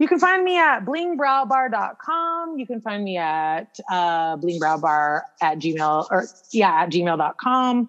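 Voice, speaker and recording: At a very slow pace, a woman with an American accent speaks at a medium pitch with very wide pitch swings. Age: 30s. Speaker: brow bar owner and wellness coach. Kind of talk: casual interview.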